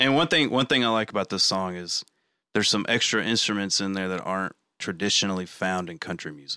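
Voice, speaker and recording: A man with a Southern US accent talks at a very fast pace in a fairly low voice with a bright, sharp tone and ordinary pitch variation. The recording is very clean, dry and close, with a silent background and no echo. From Arkansas, US South. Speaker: podcast host. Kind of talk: casual chat.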